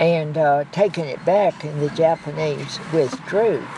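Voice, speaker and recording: A woman with an American accent speaks at a very slow pace, her very deep, low pitch showing ordinary variation. Noticeable background noise is present. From US South. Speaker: war veteran. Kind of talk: oral history interview.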